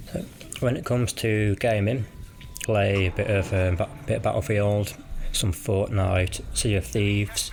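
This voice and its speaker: A man with a British accent speaks at a moderate pace in a relaxed tone, his fairly low voice moving in fairly even intonation over noticeable background noise. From West Midlands, England (Cannock, Birmingham area). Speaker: gaming YouTuber. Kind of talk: casual vlog commentary.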